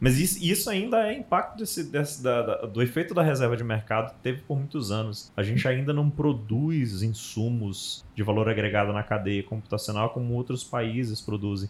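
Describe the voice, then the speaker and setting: A man talks at a moderate pace with lively intonation and hardly any pauses. His voice is somewhat breathy. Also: medium pitch for a man. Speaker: podcast host. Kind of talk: casual panel discussion.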